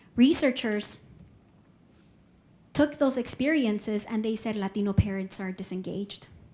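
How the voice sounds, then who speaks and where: Over music in the background, a woman with a Spanish accent talks at a moderate pace and a medium pitch. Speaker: professor. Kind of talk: lecture.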